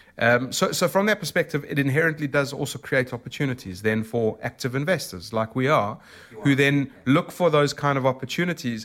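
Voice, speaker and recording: A man with a South African accent talks at a fairly quick pace in a fairly high pitch. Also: lively intonation. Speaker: emerging market debt portfolio manager. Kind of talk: interview. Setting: in person.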